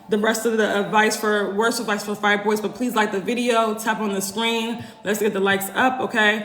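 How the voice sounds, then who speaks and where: Over noticeable background noise and audible room echo, the speaker goes at a fairly quick pace in a monotone, flat intonation. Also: woman. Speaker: holistic womb health coach. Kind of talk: live stream Q&A. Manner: fast; casual, conversational.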